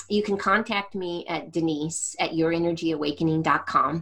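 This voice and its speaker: This woman has an ordinary speaking voice with a fairly low pitch. She talks at a moderate pace with ordinary pitch variation. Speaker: energy healer and coach. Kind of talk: interview conversation.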